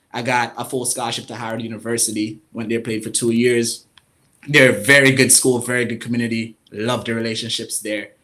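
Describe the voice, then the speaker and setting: A man talks at a fairly quick pace and medium pitch. His tone is bright and sharp. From Jamaica. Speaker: financial coach and market analyst. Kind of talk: interview.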